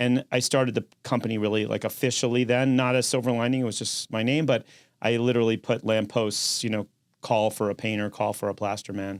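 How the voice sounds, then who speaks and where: A man talks at a fairly quick pace with a New York accent, his intonation monotone and flat. The recording is very clean, with a silent background. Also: medium pitch for a man. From New York City, Manhattan. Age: 60s. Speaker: construction company founder. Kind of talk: interview.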